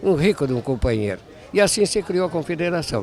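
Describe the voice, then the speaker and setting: Noticeable background noise sits behind a man talking at a moderate pace. His pitch swings very widely. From southern Brazil, Rio Grande do Sul countryside (Caçapava/Bagé). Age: 80s+. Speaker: elder traditionalist leader, movement patron. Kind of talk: interview.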